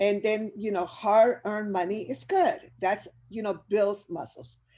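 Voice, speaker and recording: Dark and mellow in tone, a woman with a Spanish accent speaks at a fairly high pitch. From Chile. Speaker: business educator. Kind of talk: motivational presentation. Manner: animated.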